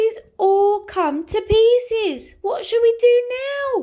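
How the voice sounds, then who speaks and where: A squeaky, put-on character voice from a woman, extremely high in pitch and very slow. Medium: read story.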